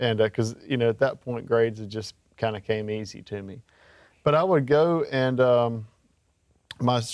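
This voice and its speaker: In a Mississippi accent, a man at a medium pitch talks at a moderate pace with ordinary pitch variation, the sound dry and close with no echo on a very clean recording with a silent background. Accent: Southern US (Mississippi). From Mississippi Gulf Coast. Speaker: country singer-songwriter. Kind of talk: interview. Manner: halting, with many fillers.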